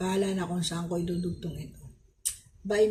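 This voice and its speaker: There is audible room echo and noticeable background noise as a woman talks at a medium pitch. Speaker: vlogger. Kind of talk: casual vlog talk. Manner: halting.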